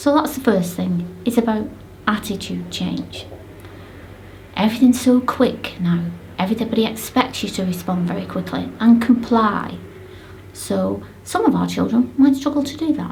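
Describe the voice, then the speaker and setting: A woman speaks with long, frequent pauses amid noticeable background noise and audible room echo. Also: moderate pace. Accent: Lancashire. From northern England, Bolton. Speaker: parent advocate and blogger. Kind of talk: video blog talk.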